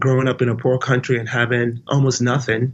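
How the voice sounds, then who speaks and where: A man with an American accent speaks fairly quickly in a medium pitch, his somewhat breathy voice flat and monotone. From Nigeria. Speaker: business leader and community figure. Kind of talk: podcast interview. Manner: halting, with frequent repeats.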